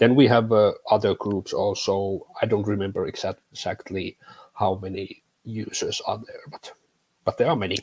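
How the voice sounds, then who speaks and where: In a Finnish accent, a man speaks at a moderate pace with big swings in loudness, the sound dry and close with no echo. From Finland. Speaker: tech content creator. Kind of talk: interview. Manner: halting.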